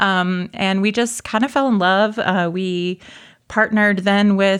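A woman talks in a normal speaking voice at a medium pitch. Her intonation is fairly even, on a very clean recording with a silent background. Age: 30s. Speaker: roller derby player. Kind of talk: casual interview. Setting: studio.

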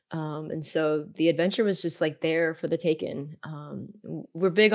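The background is quiet as a woman talks at a moderate pace. Her fairly low voice stays monotone and flat. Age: 40s. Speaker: van life content creator. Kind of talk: interview. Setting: remote interview.

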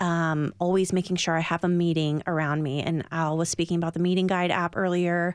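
An unremarkable speaking voice, fairly low in pitch for a woman, comes with an American accent and fairly even intonation on a very clean recording with a silent background. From California. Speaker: recovering alcoholic, AA member. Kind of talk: radio interview, personal testimony.

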